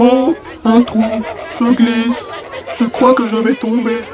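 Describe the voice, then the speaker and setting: A man speaks at a fairly slow pace in a put-on character voice, his pitch extremely high and his intonation flat and monotone. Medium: audio drama. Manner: placid, sweet.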